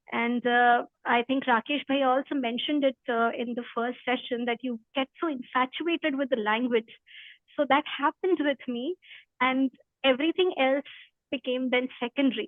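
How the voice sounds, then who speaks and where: A woman with an Indian accent speaks at a high pitch and a moderate pace, her intonation fairly even. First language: Hindi. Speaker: spiritual study presenter. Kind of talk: talk before a reading. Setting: video call. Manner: halting.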